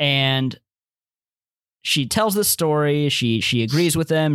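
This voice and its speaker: Very clean and recorded against a silent background, a plain, everyday voice speaks at a fairly slow pace. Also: man. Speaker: podcast host. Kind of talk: casual chat.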